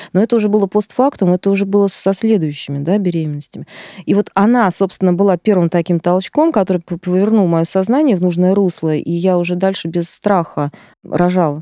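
A woman with a normal speaking voice speaks fairly quickly at a medium pitch, with ordinary pitch variation and very even loudness, in a dry, close sound with no echo. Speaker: artist and teacher, mother of six. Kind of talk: casual chat.

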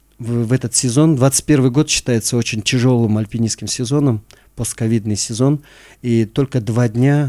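With a plain, everyday voice, a man talks at a moderate pace in a medium pitch with ordinary pitch variation. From Kyrgyzstan, Issyk-Kul region. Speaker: mountaineer and former security officer. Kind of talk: interview.

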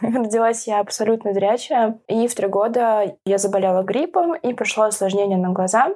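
Speaking with hardly any pauses, a woman has a fairly high, dark and mellow voice with ordinary pitch variation and very even loudness. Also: moderate pace. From Moscow, Russia. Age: 20s. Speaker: blind guide dog owner. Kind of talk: casual interview.

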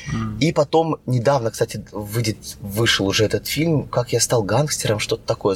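A man with a medium-pitched voice speaks somewhat breathily, with ordinary pitch variation, in a dry, close sound with no echo. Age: 30s. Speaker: actor and stunt coordinator. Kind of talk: casual chat.

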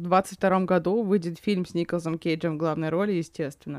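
A woman with a medium-pitched voice speaks in an animated tone. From Yakutia, Russia. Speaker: podcast co-host. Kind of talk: casual chat about films. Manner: animated, swears often.

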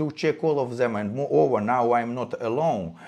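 A man with a Russian accent speaks at a moderate pace. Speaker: crypto validator founder. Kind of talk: interview. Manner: halting.

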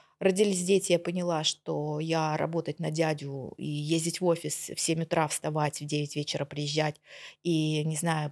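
Recorded very cleanly with a silent background and a dry, close sound with no echo, a woman talks at a moderate pace in an ordinary speaking voice at a fairly low pitch. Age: 40s. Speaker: sales expert. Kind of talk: casual chat.

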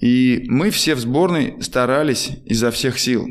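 A man with an ordinary speaking voice talks in a medium pitch with lively intonation. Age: 50s. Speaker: former marathon runner and running coach, podcast host. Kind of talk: casual interview.

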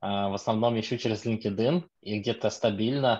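Speaking at a moderate pace and a medium pitch, a man uses a normal speaking voice. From Lithuania. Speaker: DevOps engineer, audience member. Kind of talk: audience comment.

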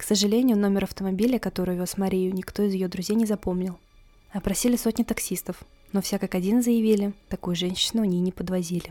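A dramatic tone with monotone, flat intonation at a fairly quick pace over music in the background. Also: woman. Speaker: podcast host, true crime storyteller. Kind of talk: true-crime narration. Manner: grave, suspenseful storytelling with dramatic pauses and rhetorical questions; measured, dry, matter-of-fact reporting of police case facts.

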